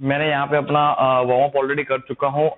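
At a moderate speed, the man delivers his words. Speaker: fitness trainer. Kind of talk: tutorial. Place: hall.

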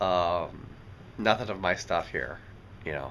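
A man at a fairly slow pace, bright and sharp in tone, over light background noise. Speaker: vlogger. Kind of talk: casual vlog chat. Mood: relaxed, content. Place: home room. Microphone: phone near.

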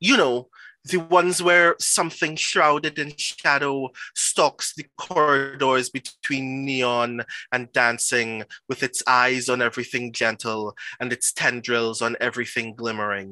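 In a dry sound with no echo and a quiet background, a man with a bright, sharp tone speaks at a fairly slow pace with ordinary pitch variation. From Trinidad and Tobago. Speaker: performance poet. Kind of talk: poetry reading. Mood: intense, rhythmic, dramatic.

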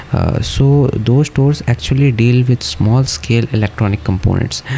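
An ordinary speaking voice moves at a moderate pace with ordinary pitch variation over light background noise. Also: man. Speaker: travel vlogger. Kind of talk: casual vlog chat. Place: street. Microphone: phone near.

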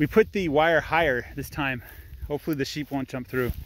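A man talks fairly quickly, with light background noise behind him. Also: dry sound with no echo. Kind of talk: casual vlog chat. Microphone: phone near.

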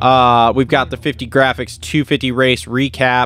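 The recording of this man has a dry sound with no echo. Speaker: podcast host. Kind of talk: podcast show intro. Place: studio. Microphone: studio mic.

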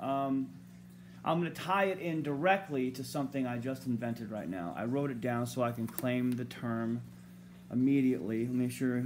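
Lively intonation carries this moderate-paced speech over light background noise. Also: man. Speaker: amateur author vlogger. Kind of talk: casual vlog chat. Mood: rambling, wry humor. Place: home room. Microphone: phone near.

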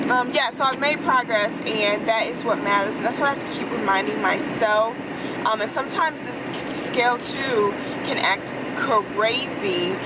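Over loud background noise, a woman talks with ordinary pitch variation. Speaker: vlogger. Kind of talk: casual vlog chat. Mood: reflective, briefly irritated. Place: car. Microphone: phone near.

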